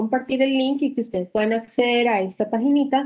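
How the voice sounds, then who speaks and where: Against a quiet background, a woman with an unremarkable speaking voice talks at a fairly quick pace. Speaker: physiotherapy program coordinator. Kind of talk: orientation talk. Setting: video call. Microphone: video call.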